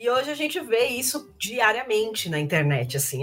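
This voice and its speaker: The speaker is a woman whose pitch swings very widely. She keeps a moderate pace. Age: 20s. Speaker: lawyer. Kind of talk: casual interview.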